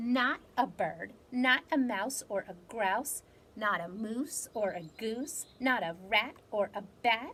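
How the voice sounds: A natural reading voice carries ordinary variation in pitch.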